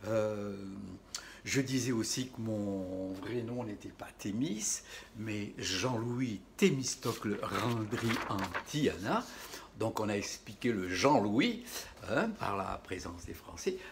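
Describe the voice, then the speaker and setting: A man speaking at a very slow pace, ordinary pitch variation, noticeable background noise throughout. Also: medium pitch for a man. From Madagascar. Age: 60s. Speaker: chef and video host. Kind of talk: casual storytelling vlog. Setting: at home during lockdown. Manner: halting, many repetitions.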